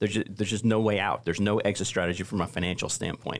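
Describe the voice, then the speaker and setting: A man's fairly low voice at a very fast pace. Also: quiet background. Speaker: racing stable manager and accountant; podcast panelist. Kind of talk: casual panel discussion. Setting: studio. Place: studio. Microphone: studio mic.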